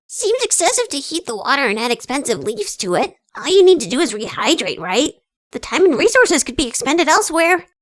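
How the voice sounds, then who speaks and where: In a put-on character voice, the speaker races along at a very fast pace, high in pitch with very wide pitch swings. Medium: audio drama. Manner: blunt, impatient.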